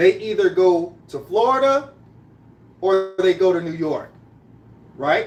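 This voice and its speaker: With an American accent and an animated tone, a man speaks at a fairly slow pace, his intonation lively. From Greenville, South Carolina, raised among Trinidadian Brooklyn family. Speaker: live-stream host. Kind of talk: casual live-stream monologue. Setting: live stream at home, making coffee. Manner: animated, repetitive.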